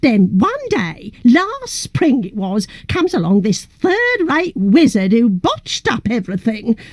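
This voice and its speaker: A female-sounding put-on character voice, high in pitch, moves at a moderate pace. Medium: video game. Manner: chatty, laughing, calls others love.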